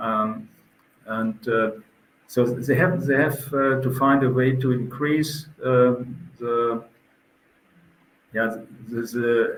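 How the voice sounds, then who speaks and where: Speaking very slowly with a German accent, a man uses a medium pitch and a somewhat breathy voice, with audible room echo. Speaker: event organizer. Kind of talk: interview. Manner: halting.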